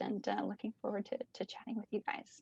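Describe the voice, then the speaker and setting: A woman has an ordinary speaking voice at a fairly high pitch with fairly even intonation. The sound is dry and close, with no echo. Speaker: bird atlas coordinator. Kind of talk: presentation Q&A over video call. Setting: video call.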